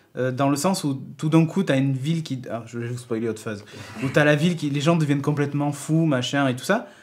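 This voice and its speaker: Through audible room echo, a man talks at a fairly quick pace with ordinary pitch variation. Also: fairly high pitch for a man. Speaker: tech podcast host. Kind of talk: casual chat. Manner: fast; poorly articulated.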